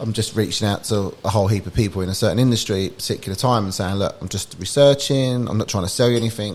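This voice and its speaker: A man talking very fast in a fairly low voice, with noticeable background noise. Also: ordinary pitch variation. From England (London area). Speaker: startup founder. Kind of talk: podcast interview. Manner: casual, with many fillers and restarts.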